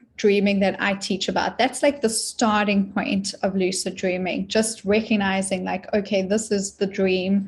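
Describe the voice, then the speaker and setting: Speaking at a moderate pace with a South African accent, a woman of medium pitch sounds somewhat breathy, her intonation fairly even. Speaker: dream teacher and author. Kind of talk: interview.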